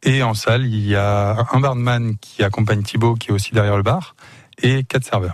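A man's medium-pitched voice at a moderate pace. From Le Mans, France. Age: 20s. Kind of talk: radio interview. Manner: animated.

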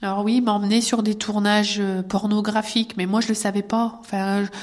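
A woman with a fairly high pitch talks at a moderate pace in a monotone, flat way. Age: 30s. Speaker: abuse survivor. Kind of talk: testimony. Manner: halting.

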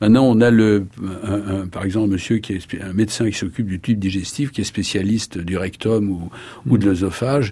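Noticeable background noise sits behind a man's voice. He speaks at a moderate pace with a fairly low pitch and fairly even intonation. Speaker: neurologist. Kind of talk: interview.

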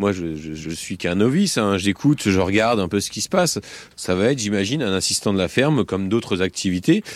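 A man's fairly low voice with lively intonation, an ordinary speaking voice, on a very clean recording with a silent background. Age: 40s. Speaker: farmer. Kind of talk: field interview. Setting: outdoors on a farm.

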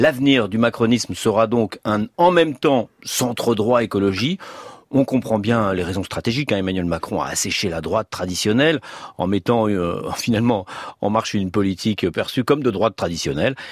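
A plain, everyday voice from a man, fairly low in pitch, with lively intonation at a moderate pace in a dry, close sound with no echo. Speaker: radio host. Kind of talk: radio interview.

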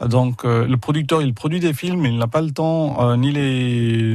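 A man's medium-pitched voice, fairly slow and fairly even in intonation, over noticeable background noise. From India, Pondicherry. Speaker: film distributor. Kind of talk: radio interview. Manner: halting, repeats words.

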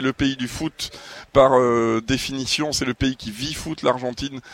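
Pitched in the medium range, a man talks in a flat monotone. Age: 40s. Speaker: sports journalist. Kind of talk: casual chat.

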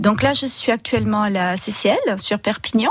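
Against noticeable background noise, a woman with a fairly high pitch speaks at a fairly slow pace. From southern France, Roussillon. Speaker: artist designer. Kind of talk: radio interview. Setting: radio studio. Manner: halting.

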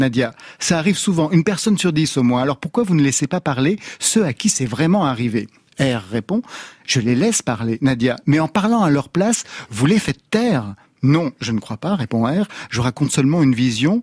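Recorded very cleanly against a silent background, a man with a fairly high voice talks at a moderate pace, his pitch swinging very widely, and the sound is dry and close with no echo. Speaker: radio host. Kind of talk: casual chat. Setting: studio.

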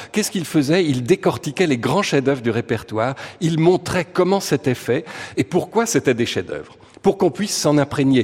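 This man's somewhat breathy voice sits fairly high in pitch and carries lively intonation. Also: moderate pace. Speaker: music critic and radio columnist. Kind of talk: radio chronicle.

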